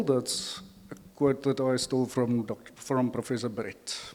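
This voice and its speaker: This man speaks at a moderate pace in an Afrikaans accent. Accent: Afrikaans-inflected English. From South Africa. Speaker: panel facilitator. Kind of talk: panel discussion moderation. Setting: conference stage with audience.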